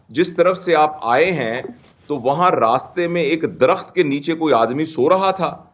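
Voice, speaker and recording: A plain, everyday voice from a man, fairly high-pitched, with ordinary pitch variation. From Pakistan. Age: 60s. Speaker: scholar and expert guest. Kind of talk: TV talk show interview.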